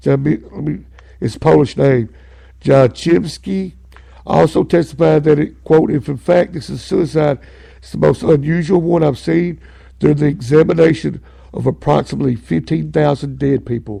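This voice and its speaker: A man with an Arkansas accent talks at a moderate pace, his loudness swinging widely. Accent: Southern US (Arkansas). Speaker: talk radio host. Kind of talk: podcast talk show, reading from a book and commenting. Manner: animated.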